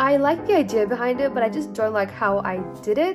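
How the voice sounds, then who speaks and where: A woman talking with music in the background. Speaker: artist. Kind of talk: casual talk to camera.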